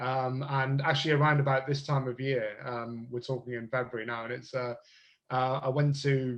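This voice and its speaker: A man with a southern English accent speaks at a moderate pace and a medium pitch, in a monotone, flat intonation. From southern England, Bristol. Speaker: speed dating business owner. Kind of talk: podcast interview. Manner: halting.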